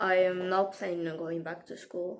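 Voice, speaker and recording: A woman with a non-native accent and a medium pitch. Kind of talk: casual talk to camera. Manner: candid, conversational.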